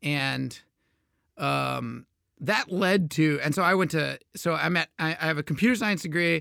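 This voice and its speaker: A man talks fairly slowly on a very clean recording with a silent background. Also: dry, close sound with no echo. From Texas, Houston. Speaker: game designer. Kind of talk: casual interview.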